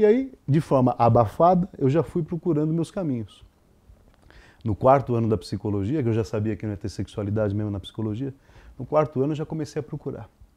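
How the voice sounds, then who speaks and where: Lively intonation and a fairly quick pace mark this man's medium-pitched, dark, mellow voice. The background is quiet. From Brazil, São Paulo. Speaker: psychologist and sex therapist. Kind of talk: interview. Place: home room. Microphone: lapel.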